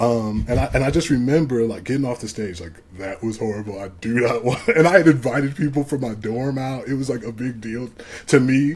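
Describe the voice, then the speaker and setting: Featuring big swings in loudness, a man with an American accent uses an ordinary speaking voice at medium pitch and ordinary pitch variation. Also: fairly quick pace. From Ohio, Cleveland area. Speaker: music producer and rapper. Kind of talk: casual interview chat.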